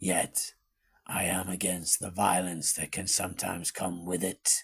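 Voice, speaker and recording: A man's cartoonish character voice, raspy and very deep, delivered at a moderate pace with monotone, flat intonation. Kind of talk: fireside storytelling narration. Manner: measured, reflective.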